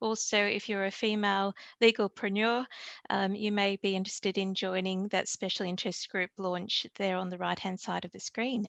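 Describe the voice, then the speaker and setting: Against a quiet background, a woman with a plain, everyday voice speaks at a medium pitch and a moderate pace. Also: dry, close sound with no echo. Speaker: event host for a law and technology society. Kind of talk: webinar closing announcements.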